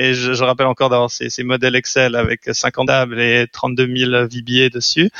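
The speaker is a man. He talks at a medium pitch. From French-speaking Switzerland (Lausanne). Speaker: venture capital investor. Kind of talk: interview. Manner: halting, with repeated words.

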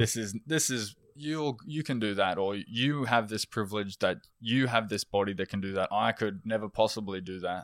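In a dry, close recording with no echo, a fairly low-pitched man with an Australian accent talks at a moderate pace with ordinary pitch variation and hardly any pauses. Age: 20s. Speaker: electrician and amateur endurance runner. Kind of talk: casual interview chat. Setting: in person, recorded in Belfast.

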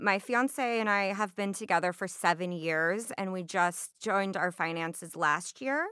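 In an American accent, a woman speaks at medium pitch with a bright, sharp tone and ordinary pitch variation, on a very clean recording with a silent background. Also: moderate pace, hardly any pauses. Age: 20s. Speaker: food and beverage worker. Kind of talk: interview about personal finances.

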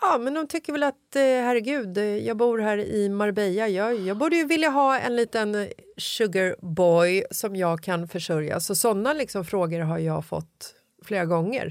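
An unremarkable speaking voice, this woman has a medium pitch and lively intonation at a fairly slow pace. The recording is very clean, with a silent background. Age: 40s. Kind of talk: casual chat.

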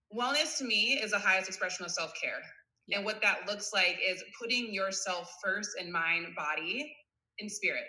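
Audible room echo accompanies a woman with an American accent speaking at a moderate pace and medium pitch, with ordinary pitch variation. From US Midwest, suburban Cleveland, Ohio. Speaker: wellness coach, former volleyball player. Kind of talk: casual interview chat.

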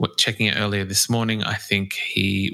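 This man has an Australian accent and a fairly low pitch. He speaks at a fairly quick pace in a bright, sharp tone. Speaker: music podcast host. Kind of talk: scripted intro; interview. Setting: remote call.

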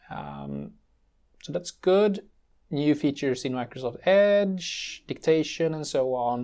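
The speaker has a Swedish accent and talks at a very slow pace. The recording is very clean, with a silent background. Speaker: tech podcast co-host, IT systems specialist. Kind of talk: casual chat.

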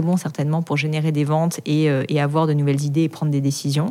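This woman speaks with a very deep, low pitch. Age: 30s. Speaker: entrepreneur. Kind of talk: interview. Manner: casual, filler-heavy.

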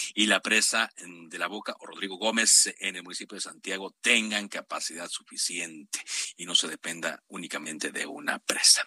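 A man's fairly low voice with a bright, sharp tone at a moderate pace, dry and close with no echo. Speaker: radio host. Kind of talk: news talk radio.

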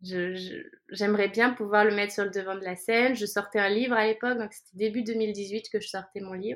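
Fairly high in pitch, a woman speaks with an unremarkable speaking voice. Her pace is moderate and her intonation fairly even. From France. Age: 30s. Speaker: life coach and yoga teacher. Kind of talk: casual interview.

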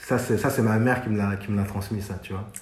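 A man speaks at a moderate pace in a fairly low voice. Room echo is audible. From France, Paris suburbs (Sarcelles, Val d'Oise). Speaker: fashion journalist and stylist. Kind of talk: casual interview. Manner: hesitant, with many fillers.

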